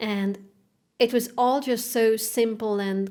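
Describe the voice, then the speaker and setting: Very slowly, a woman with a Hungarian accent speaks with fairly even intonation. The recording is very clean against a silent background. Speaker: classical guitarist and content creator. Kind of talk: podcast interview. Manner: halting.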